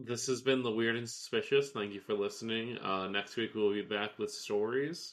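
At a moderate pace and medium pitch, a man talks in a normal speaking voice with fairly even intonation and hardly any pauses. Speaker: podcast co-host. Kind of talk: casual chat.

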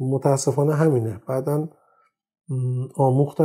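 A man speaks with a fairly high pitch. His intonation is fairly even. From Iran, Tehran. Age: 50s. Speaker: audio industry engineer and magazine publisher. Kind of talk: interview. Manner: halting; formal.

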